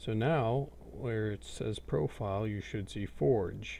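Somewhat breathy and relaxed, a man's dark, mellow voice sits fairly low for a man and moves with lively intonation. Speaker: gaming tutorial creator. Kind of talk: screen-recorded software tutorial. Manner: casual, relaxed.

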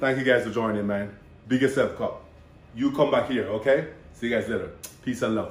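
An animated man at a fairly quick pace, broken by long, frequent pauses, with audible room echo. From Jamaica. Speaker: bodybuilder and personal trainer; personal trainer. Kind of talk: casual vlog intro. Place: kitchen.

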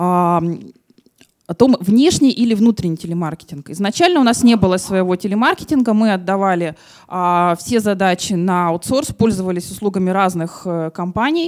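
The background stays quiet while a woman talks. Her pace is moderate, with ordinary pitch variation. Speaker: marketing manager. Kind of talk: conference talk. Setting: conference hall with audience. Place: hall. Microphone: handheld.

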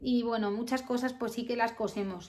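This woman's voice is high in pitch and moves at a fairly quick pace. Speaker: vlogger. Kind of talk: casual vlog talk. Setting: at home.

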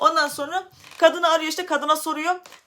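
The voice is raised and projected. It moves at a very fast pace. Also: woman. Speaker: YouTuber. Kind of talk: personal vlog storytelling. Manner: loud.

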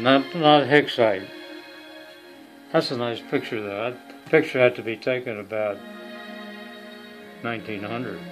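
Clear music plays behind a man who talks at a fairly slow pace with ordinary pitch variation, big swings in loudness and long, frequent pauses. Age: 90s. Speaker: family elder. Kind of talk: casual chat; casual family storytelling. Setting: family gathering. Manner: halting. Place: home room. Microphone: phone near.

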